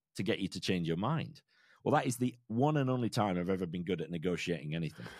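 Very wide pitch swings mark this man's fairly quick delivery. The recording is very clean, with a silent background. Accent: English. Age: 40s. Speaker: financial planner and podcaster. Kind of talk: interview conversation.

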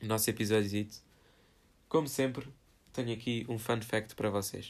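A man's medium-pitched voice in a European Portuguese accent, at a moderate pace with ordinary pitch variation. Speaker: solo podcaster. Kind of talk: casual solo monologue. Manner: informal, filler-heavy.

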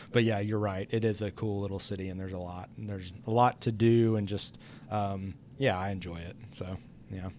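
An unremarkable speaking voice at a moderate pace. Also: man. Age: 30s. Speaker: podcast host, gym coach. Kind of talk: casual interview chat. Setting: gym.

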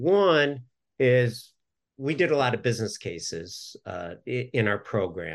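A man with an American accent speaks at a fairly slow pace over a quiet background. His pitch sits in the medium range, with very wide swings up and down. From Southern California. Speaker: business development consultant. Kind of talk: casual interview.

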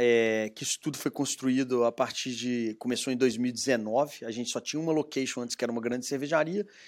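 A man speaks at a medium pitch with a Minas Gerais accent and fairly even intonation. The recording is very clean, with a silent background. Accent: Minas Gerais Brazilian Portuguese. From Brazil, Minas Gerais (Belo Horizonte). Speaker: entrepreneur, craft brewery founder. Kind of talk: interview, casual conversation.

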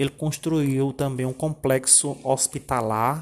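Flat, monotone delivery from a man at a medium pitch. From Paraíba sertão, Brazil. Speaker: teacher. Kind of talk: informative presentation. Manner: halting, many filler 'é'.

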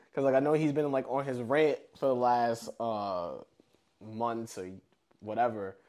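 With an unremarkable speaking voice, a man speaks fairly slowly in a medium pitch with ordinary pitch variation. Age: 30s. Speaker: podcast co-host. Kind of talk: casual chat.

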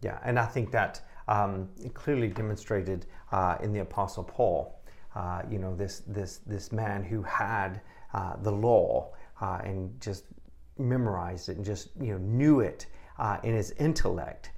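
Somewhat breathy and fairly slow, a man speaks at a fairly low pitch with ordinary pitch variation. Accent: American. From Texas. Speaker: testimony giver. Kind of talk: testimony.

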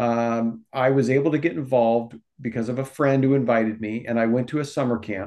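Speaking at a moderate pace, a man has an unremarkable speaking voice at medium pitch. He talks with an American accent. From Omaha, Nebraska. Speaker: youth ministry director. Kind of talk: casual interview.

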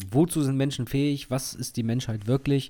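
The recording is very clean with a silent background as a man talks at a fairly quick pace in a dark, mellow tone. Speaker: podcast co-host. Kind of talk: casual chat.

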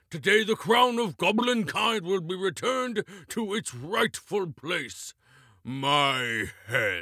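On a very clean recording with a silent background, a man puts on a high-pitched character voice. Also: fairly slow pace. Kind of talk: regal proclamation. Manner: pompous, commanding.

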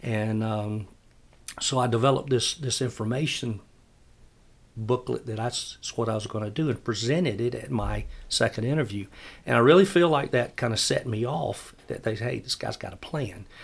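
With a South Carolina accent, a man speaks at a moderate pace in a somewhat breathy voice of medium pitch and ordinary pitch variation, in a very clean recording with a silent background. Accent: Southern US (South Carolina). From US South, upstate South Carolina. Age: 60s. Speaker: city parks and recreation director. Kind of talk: casual interview.

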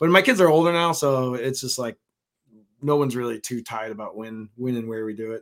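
With an unremarkable speaking voice, a man at medium pitch talks at a fairly quick pace, his loudness swinging widely. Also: ordinary pitch variation. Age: 40s. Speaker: fishing content creator. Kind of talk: casual chat.

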